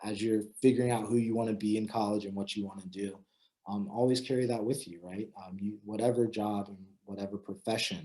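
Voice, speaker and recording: A man with an American accent, fairly low in pitch and dark and mellow in tone, fairly quick, with fairly even intonation and big swings in loudness. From Florida, Tampa. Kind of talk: talk to students. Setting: video call. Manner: fast; halting, many fillers.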